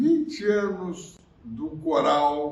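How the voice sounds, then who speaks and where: Very slow male speech amid audible room echo and noticeable background noise. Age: 80s+. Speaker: conductor. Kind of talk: video greeting.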